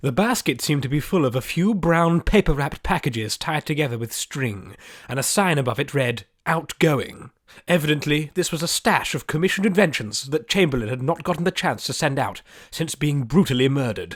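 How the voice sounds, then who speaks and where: On a very clean recording with a silent background, a man with a fairly high, somewhat breathy voice speaks fairly quickly with lively intonation. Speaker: audiobook narrator. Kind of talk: audiobook narration, fantasy adventure.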